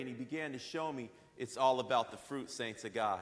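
The man's delivery moves at a moderate pace. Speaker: minister. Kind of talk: sermon. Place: church. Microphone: lapel.

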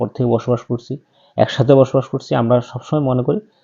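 A man with a medium pitch. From Bangladesh. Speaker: YouTube commentator. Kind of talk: personal opinion monologue. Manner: halting, with many pauses and fillers.

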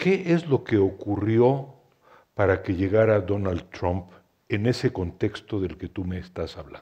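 At a moderate pace, a somewhat breathy voice with a dark, mellow tone, ordinary pitch variation and a Mexican accent speaks over a quiet background. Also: man, fairly low pitch for a man. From Mexico City. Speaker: historian and essayist, moderator; moderator. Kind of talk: panel discussion. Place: hall. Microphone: headset.

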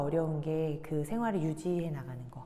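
Her tone is dark and mellow, and this woman talks at a moderate pace. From South Korea. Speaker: painter and installation artist. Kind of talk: interview. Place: hall.

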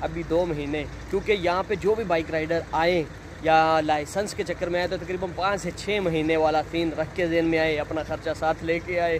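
A man with a fairly high pitch and fairly even intonation speaks at a moderate pace over clear background noise.

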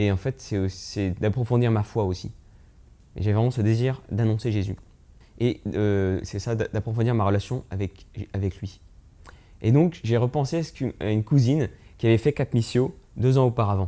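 Speaking at a fairly slow pace with long, frequent pauses, a man uses ordinary pitch variation and a dark, mellow tone. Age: 20s. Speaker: young missionary. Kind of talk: testimony. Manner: halting. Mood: calm, earnest, reflective. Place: home room. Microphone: lapel.

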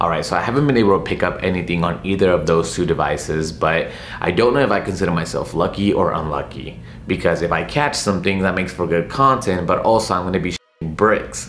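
A man talking very fast, with audible room echo and light background noise. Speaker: travel vlogger. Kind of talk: casual vlog chat. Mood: slightly nervous, playful. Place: home room.

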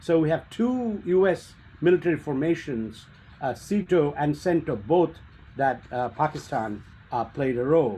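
A man's fairly high voice, dark and mellow in tone, at a fairly slow pace. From India. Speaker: policy researcher, speaker; speaker. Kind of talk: presentation. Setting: video call. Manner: halting. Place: home room. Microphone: webcam.

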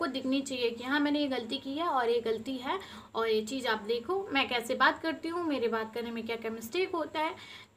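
Her voice sits high for a woman, with ordinary pitch variation, a moderate pace and light background noise. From eastern Uttar Pradesh (Deoria, Purvanchal); eastern Uttar Pradesh. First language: Bhojpuri (speaking Hindi). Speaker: village lifestyle vlogger. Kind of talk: casual vlog talk to camera. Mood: upset, emotional, heartfelt. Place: home room. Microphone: phone near.

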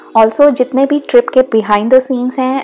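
A woman's high-pitched voice in monotone, flat intonation at a moderate pace, with faint music in the background. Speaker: travel vlogger. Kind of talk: casual vlog narration.

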